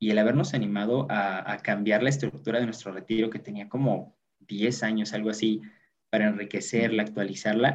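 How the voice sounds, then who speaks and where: A man's ordinary speaking voice at a fairly quick pace. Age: 20s. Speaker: youth group treasurer. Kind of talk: casual chat.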